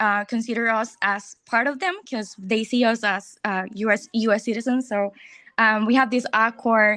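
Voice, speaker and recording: The speaker is a woman with a Spanish accent and a fairly high pitch. Her tone is bright and sharp. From Puerto Rico. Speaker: audience member asking a question. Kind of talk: question at lecture Q&A. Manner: halting, many fillers.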